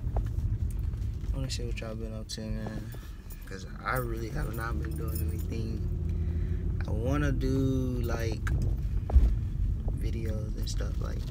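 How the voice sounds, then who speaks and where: With music playing behind him, a man talks at a fairly slow pace with ordinary pitch variation and long, frequent pauses. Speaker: vlogger. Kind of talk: casual vlog chat. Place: car. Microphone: phone near.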